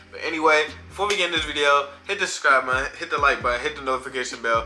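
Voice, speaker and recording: A man speaks at a very fast pace while music plays behind him. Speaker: reaction video creator. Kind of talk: casual chat. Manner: animated.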